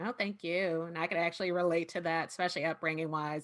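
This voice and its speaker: A woman with fairly low pitch and a slight Southern US accent talks at a very fast pace. The recording is very clean, with a silent background. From Southern California. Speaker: panel moderator. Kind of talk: panel discussion.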